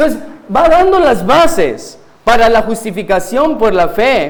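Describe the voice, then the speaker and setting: A man speaks at an extremely high pitch and a fairly slow pace, with lively intonation. There is noticeable background noise and audible room echo. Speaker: guest preacher, pastor. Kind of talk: sermon. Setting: church pulpit.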